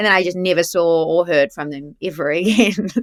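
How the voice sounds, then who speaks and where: Speaking with a New Zealand accent, a woman uses medium pitch and lively intonation. The sound is dry and close, with no echo. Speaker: actress. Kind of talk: casual chat. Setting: podcast interview.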